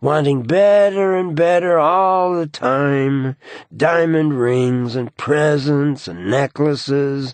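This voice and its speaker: In a put-on character voice, a man talks at a very slow pace with a fairly high pitch. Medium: read story. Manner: irritatingly insistent.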